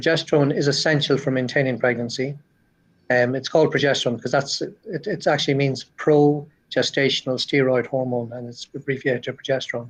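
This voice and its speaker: A man with an Irish accent, fairly high in pitch, at a very fast pace with fairly even intonation. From Ireland. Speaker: cardiologist. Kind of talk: interview. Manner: halting, repeats words.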